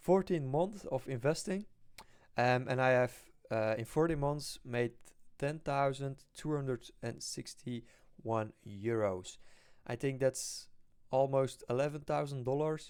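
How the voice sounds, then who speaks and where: His medium-pitched voice, with ordinary pitch variation, moves at a fairly slow pace. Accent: non-native. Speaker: stock investing youtuber. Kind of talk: casual investing vlog. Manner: halting, many fillers.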